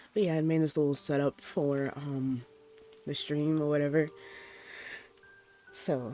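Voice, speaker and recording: With music in the background, a man speaks at a fairly high pitch and a fairly slow pace. His intonation is fairly even, with long, frequent pauses. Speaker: vtuber streamer. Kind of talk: casual stream chat before reading stories aloud. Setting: livestream with rain sounds. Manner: loud; hesitant, many fillers.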